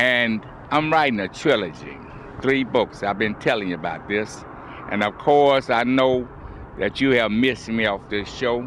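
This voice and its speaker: A man with an American accent speaks fairly slowly at a medium pitch, with long, frequent pauses. Noticeable background noise is present. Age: 80s+. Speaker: TV show host. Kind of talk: monologue to camera. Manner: halting.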